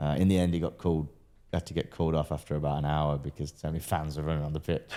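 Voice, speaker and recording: With a British accent, a man speaks in a dark, mellow tone. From Britain. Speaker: entrepreneur and pro boxer. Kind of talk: casual interview.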